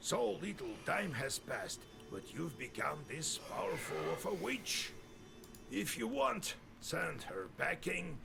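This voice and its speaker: A man performs a put-on character voice at a fairly slow pace. Background noise is clearly audible. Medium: video game. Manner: serious, cautionary.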